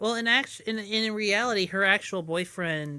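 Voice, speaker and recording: A woman's medium-pitched voice with a bright, sharp tone and ordinary pitch variation, on a very clean recording with a silent background. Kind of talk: casual chat.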